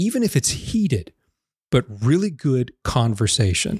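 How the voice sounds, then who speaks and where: A man with an American accent speaks in an animated, somewhat breathy tone at a moderate pace, recorded dry and close with no echo on a very clean, silent background. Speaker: podcast host. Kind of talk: solo podcast monologue, partly angry rant. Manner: animated, exasperated; conversational, ranting.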